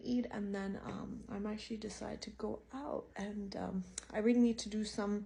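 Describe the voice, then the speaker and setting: A woman talks at a moderate pace in a fairly high voice, with noticeable noise behind her. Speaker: vlogger. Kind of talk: casual vlog talk. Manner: animated.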